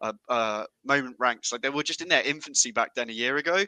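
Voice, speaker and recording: A man with a medium-pitched voice has a bright, sharp tone, recorded with a dry, close sound and no echo. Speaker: tech company community manager. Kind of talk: casual chat. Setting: video call.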